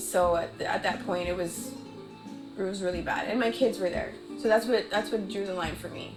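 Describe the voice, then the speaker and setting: Music plays in the background. The speaker has an American accent and a moderate pace. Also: woman. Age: 30s. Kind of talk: documentary interview answer. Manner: hesitant.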